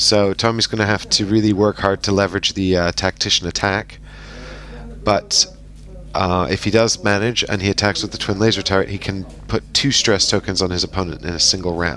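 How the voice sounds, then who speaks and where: Through noticeable background noise, a man speaks with a fairly low pitch and fairly even intonation. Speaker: game commentator. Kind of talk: voice-over commentary on recorded game.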